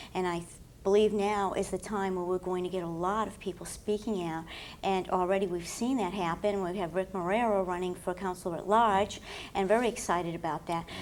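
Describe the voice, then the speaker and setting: A woman at a fairly quick pace with a medium pitch. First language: French. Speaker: political candidate. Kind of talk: panel discussion.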